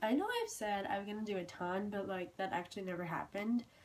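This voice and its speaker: There is noticeable background noise. Over it, a woman talks at a moderate pace. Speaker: booktuber. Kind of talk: book review vlog. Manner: casual, halting with fillers.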